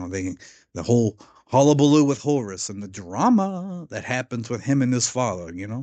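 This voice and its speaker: A man's dark, mellow tone with lively intonation. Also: quiet background. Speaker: video essayist. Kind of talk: casual video commentary. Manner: halting, with self-corrections.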